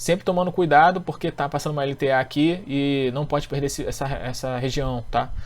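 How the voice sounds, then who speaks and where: A man's fairly high voice at a fairly quick pace, with fairly even intonation and hardly any pauses. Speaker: economist and stock market trading teacher. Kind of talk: technical chart analysis tutorial. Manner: fast.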